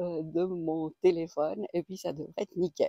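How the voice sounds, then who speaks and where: A woman speaks at a fairly slow pace with a fairly low pitch. Her tone is dark and mellow, and the sound is dry and close with no echo. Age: 60s. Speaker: personal growth coach. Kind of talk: casual vlog. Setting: outdoors on a walk. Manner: halting, many hesitations. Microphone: external mic on phone.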